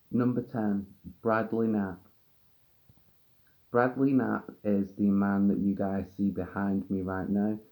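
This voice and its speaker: Very slowly and with long, frequent pauses, a man speaks in a dark, mellow tone at fairly low pitch with fairly even intonation. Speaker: true crime youtuber. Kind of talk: true crime presentation. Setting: on camera, video.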